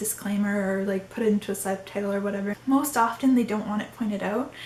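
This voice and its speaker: Speaking at a fairly quick pace, a woman uses a fairly high pitch with ordinary pitch variation over noticeable background noise. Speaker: YouTuber. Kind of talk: casual talk to camera. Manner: trembling, sounds like crying.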